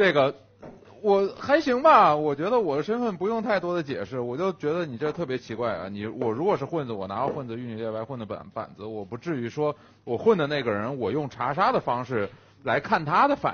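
This man's voice sits fairly high and swings very widely in pitch. He talks at a fairly quick pace. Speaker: werewolf game player. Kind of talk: casual game banter. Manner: animated. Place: studio. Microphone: headset.

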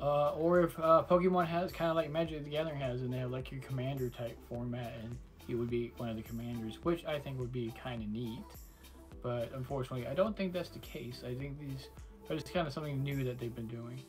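Over clear background music, a man talks at a very fast pace with ordinary pitch variation. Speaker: card unboxing channel host. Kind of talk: casual unboxing commentary. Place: home room.

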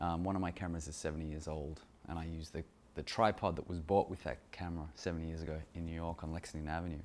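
In an Australian accent, a man talks at a fairly quick pace with a very deep, low pitch. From Australia, Sydney. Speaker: photographer. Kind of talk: talking-head monologue about his photos. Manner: hesitant, many fillers. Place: kitchen.

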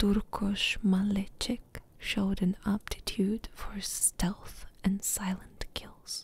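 The voice is soft-spoken, at a very slow pace with hardly any pauses. The sound is dry with no echo. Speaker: ASMR gaming YouTuber. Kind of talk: whispered audiobook-style story reading, soothing ASMR bedtime narration. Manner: soft, hushed, slow and even, lulling; unhurried, gently dramatic, pausing between sentences. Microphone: studio mic.

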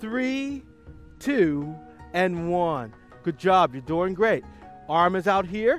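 Faint music plays in the background as a man speaks in a dry sound with no echo. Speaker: fitness instructor. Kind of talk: exercise class instruction. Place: waterside. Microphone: headset.

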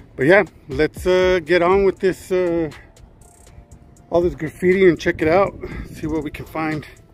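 A man speaks in a flat, monotone way at a high pitch. Faint music plays behind the dry, echo-free sound. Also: moderate pace. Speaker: urban explorer vlogger. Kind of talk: casual vlog chat. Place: street. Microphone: phone near.

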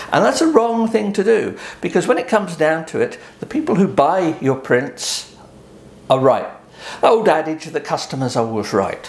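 This man's voice sits high and swings very widely in pitch. He talks at a moderate pace, with audible room echo. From eastern England, Suffolk coast; eastern England. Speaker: photographer; photographer explaining print sales. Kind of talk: tutorial. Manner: hesitant, with frequent ums. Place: home room.

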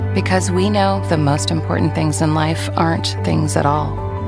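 The speech runs at a moderate pace with hardly any pauses. Clear music plays in the background, and the sound is dry with no echo. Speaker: voice actor. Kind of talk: TV commercial read. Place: booth.

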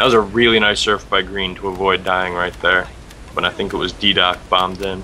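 Over noticeable background noise, a man speaks at a fairly quick pace in a very deep, low pitch with monotone, flat intonation. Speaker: co-caster. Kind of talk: live commentary.

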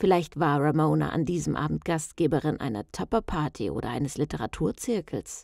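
Vocal fry and very wide pitch swings at a moderate pace, in a very clean recording with a silent background. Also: woman. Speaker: audiobook narrator. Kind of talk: tense horror thriller narration, read aloud like a ghost story.

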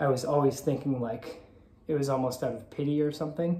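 A man talks at a very fast pace in a fairly high pitch, with a dark, mellow tone, monotone, flat intonation and a somewhat breathy sound. Light background noise and audible room echo surround him. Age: 30s. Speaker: vlogger. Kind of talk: personal confessional vlog. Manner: halting, many filler ums. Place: home room. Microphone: phone near.

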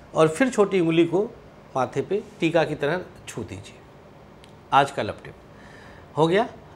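A man's high-pitched voice with lively intonation, big swings in loudness, a very slow pace and long, frequent pauses, over light background noise. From Awadh region, Uttar Pradesh (Faizabad/Ambedkar Nagar area); Uttar Pradesh, India. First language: Awadhi (speaking Hindi). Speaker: astrologer. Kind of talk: astrology tips to camera. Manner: casual, chatty. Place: studio. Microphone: lapel.

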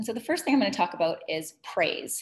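This woman's voice is somewhat breathy, moving at a fairly quick pace with very wide pitch swings. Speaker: presenter. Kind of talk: webinar presentation. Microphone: webcam.

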